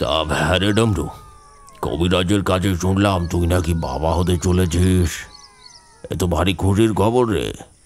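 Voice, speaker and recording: Putting on a character voice, a man booms in a very deep, low pitch at a moderate pace, keeping very even loudness and ordinary pitch variation. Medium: audio drama. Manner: condescending, familiar.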